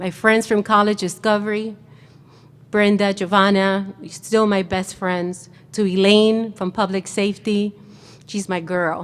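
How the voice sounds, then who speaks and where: A woman's medium-pitched voice, monotone and flat, at a fairly slow pace. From New York City, Puerto Rican family. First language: Spanish. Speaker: commencement speaker. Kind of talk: commencement address.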